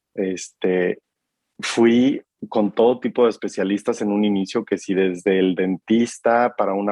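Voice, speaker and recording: The man speaks fairly slowly in a fairly low pitch. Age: 30s. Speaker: marketer sharing mental health reflections. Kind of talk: casual interview about personal mental health journey.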